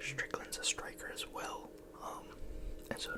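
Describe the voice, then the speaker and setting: A man whispers at a fairly slow pace, with noticeable background noise around him. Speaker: ASMR YouTuber. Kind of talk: whispered ASMR ramble about MMA. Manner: whispered, soft-spoken.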